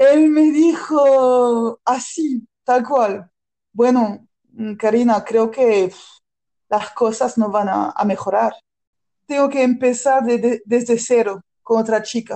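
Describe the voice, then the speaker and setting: In a French accent, a high-pitched woman talks at a very slow pace with very even loudness. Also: ordinary pitch variation. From France. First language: French (speaking Spanish). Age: 30s. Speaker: improv performer. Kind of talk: personal testimony. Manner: halting.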